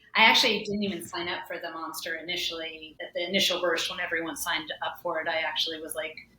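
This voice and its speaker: Talking very fast in a monotone, flat way, a woman with an American accent and a fairly low pitch is heard over noticeable background noise and audible room echo. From US South. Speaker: ultrarunner. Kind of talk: podcast interview.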